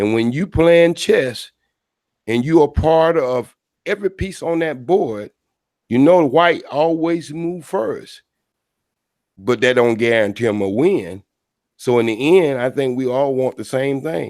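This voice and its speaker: The speaker's intonation is lively at a fairly slow pace. The recording is very clean, with a silent background. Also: man, medium pitch for a man. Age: 60s. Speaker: caller. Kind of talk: casual chat. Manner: non-standard diction.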